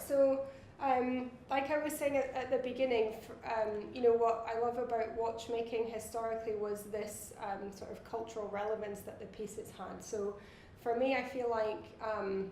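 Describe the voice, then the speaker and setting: Against noticeable background noise and audible room echo, a woman with a Scottish accent speaks at a moderate pace, her fairly high pitch held in fairly even intonation. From Scotland. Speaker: watch designer. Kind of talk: interview. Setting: trade fair.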